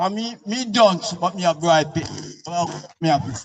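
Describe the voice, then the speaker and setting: In a Jamaican accent, a man speaks at a moderate pace with lively intonation. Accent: Jamaican Patois. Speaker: resident. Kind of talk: public meeting comment.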